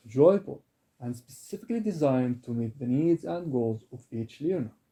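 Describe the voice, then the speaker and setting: In an Arabic accent, a man speaks at a moderate pace with lively intonation, his medium-pitched voice somewhat breathy with a dark, mellow tone. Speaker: Arabic and Quran tutor. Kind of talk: self-introduction sales pitch.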